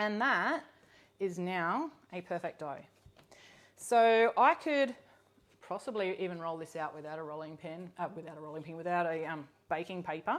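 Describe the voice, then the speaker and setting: A woman with a fairly low pitch talks at a moderate pace, with lively intonation, long and frequent pauses, and big swings in loudness. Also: very clean recording, silent background. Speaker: cookbook author and cooking host. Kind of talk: live cooking demonstration. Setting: home kitchen, live stream. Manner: casual, with many fillers.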